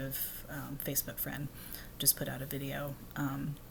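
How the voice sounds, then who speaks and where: This woman is soft-spoken, with a very deep, low pitch. Vocal fry runs through her voice. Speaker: vlogger. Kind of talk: casual monologue. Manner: soft-spoken, talking low; halting, many fillers.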